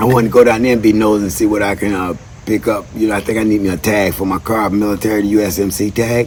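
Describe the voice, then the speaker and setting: Very fast, fairly low speech from a man, with noticeable background noise. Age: 60s. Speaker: military veteran and history channel host. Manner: animated.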